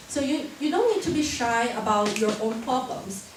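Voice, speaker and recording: A woman with a Chinese accent speaks at a moderate pace, her high voice full of lively intonation. Audible room echo and noticeable background noise surround her. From China. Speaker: university student. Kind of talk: short talk to an audience.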